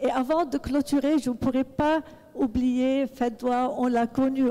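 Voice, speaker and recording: A woman speaks with a high pitch and a dark, mellow tone. Her pace is fairly slow and her intonation fairly even. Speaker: audience member asking a question. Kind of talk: public question at a book talk. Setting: book club event with audience.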